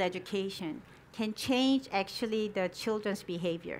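Speaking at a moderate pace with ordinary pitch variation, a woman with a fairly high pitch talks in a Korean accent. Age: 40s. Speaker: education researcher and founder. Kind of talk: conference presentation; answering audience questions.

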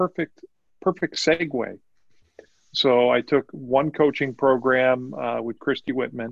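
A man talks at a fairly slow pace with long, frequent pauses and ordinary pitch variation, the sound dry and close with no echo. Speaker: tech executive and life coach. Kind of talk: casual interview.

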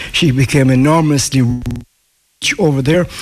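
A man with a west of Ireland accent speaks at a medium pitch. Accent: west of Ireland Irish. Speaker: local historian. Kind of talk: casual interview. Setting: live outside broadcast in village.

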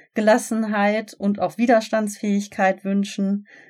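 A woman speaks at a moderate pace and a medium pitch. The recording is very clean, with a silent background. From Germany, Ruhr area (Gelsenkirchen). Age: 30s. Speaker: podcast host, relaxation instructor. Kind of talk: podcast intro monologue.

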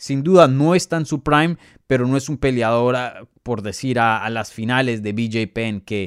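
The recording is very clean, with a silent background and a dry, close sound with no echo. A man speaks in an animated tone at a medium pitch with ordinary pitch variation. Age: 20s. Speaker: MMA journalist and podcast host. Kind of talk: live Q&A show commentary. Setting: live stream.

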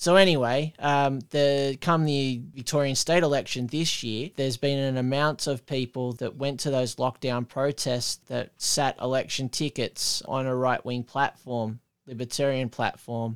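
Speaking with an Australian accent, a man uses a medium pitch and fairly even intonation at a fairly slow pace with hardly any pauses, in a dry, close sound with no echo. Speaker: podcast host. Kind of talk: casual chat. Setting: remote call.

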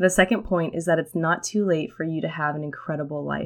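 A woman with a fairly low pitch uses a normal speaking voice at a moderate pace. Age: 20s. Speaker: podcast host, former history teacher.

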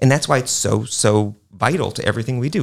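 A man talks with an American accent and vocal fry. His pitch varies in an ordinary way. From New York City. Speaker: art museum director. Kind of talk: radio panel discussion.

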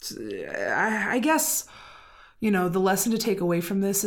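A woman speaks at a moderate pace in a normal speaking voice at a medium pitch. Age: 30s. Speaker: podcast co-host. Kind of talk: casual chat.

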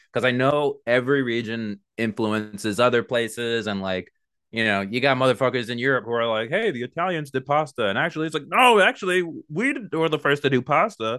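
A man with an American accent speaks at a fairly quick pace in a normal speaking voice, his medium pitch carried by lively intonation. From New York, Long Island. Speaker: podcast host, guest host. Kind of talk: casual chat.

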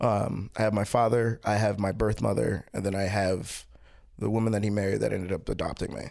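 In a very clean recording with a silent background, a man with an American accent speaks fairly quickly in a plain, everyday voice, his fairly low pitch held in fairly even intonation. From Baltimore, Maryland, US. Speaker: comedian. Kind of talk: casual interview chat.

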